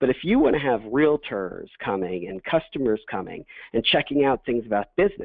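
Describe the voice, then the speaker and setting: This man's voice sits at medium pitch with lively intonation. He talks at a fairly quick pace. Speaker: compliance consultant. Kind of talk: webinar presentation. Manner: fast.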